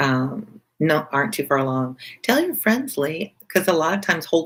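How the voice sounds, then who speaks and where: Soft-spoken, this voice carries an American accent. It moves at a moderate pace. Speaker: teacher, live reader. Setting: back porch, outdoors. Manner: soft indoor voice, soothing.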